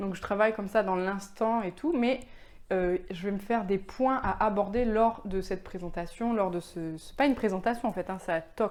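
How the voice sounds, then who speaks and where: A woman speaks at a medium pitch with a calm tone. Her pitch varies in an ordinary way. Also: moderate pace. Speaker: web entrepreneur, vlogger. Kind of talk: casual vlog. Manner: calm, low-energy; hesitant, many fillers.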